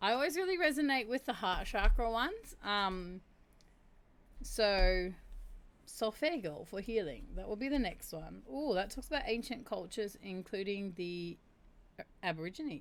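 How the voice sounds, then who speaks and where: In a New Zealand accent, a woman with a fairly high voice and very wide pitch swings talks at a moderate pace, leaving long, frequent pauses. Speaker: streamer. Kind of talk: casual chat. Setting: livestream.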